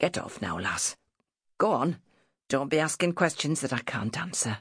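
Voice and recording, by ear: A woman performs a put-on character voice at an extremely low pitch, with a husky, rough edge and big pitch swings. She keeps a moderate pace on a very clean recording with a silent background.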